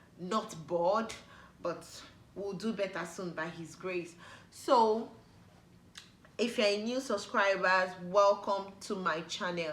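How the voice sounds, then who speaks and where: In a Nigerian accent, a woman speaks very slowly at medium pitch with ordinary pitch variation and long, frequent pauses, with audible room echo around her. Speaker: YouTuber. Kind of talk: casual vlog talk to camera. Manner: animated.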